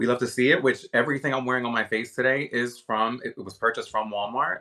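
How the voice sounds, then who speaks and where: On a very clean recording with a silent background, a man with an American accent talks at a fairly quick pace in a bright, sharp, animated tone. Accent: Philadelphia accent (viewer remarks). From US Northeast, Philadelphia. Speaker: livestream shopping host, beauty creator. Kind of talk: live stream chat and product demo. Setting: live video stream.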